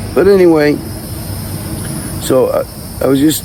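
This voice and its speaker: There's noticeable background noise. Through it, a man talks. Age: 60s. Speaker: army veteran vlogger. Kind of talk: casual monologue vlog. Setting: outdoors in a downtown park. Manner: rambling with repetitions and hesitations.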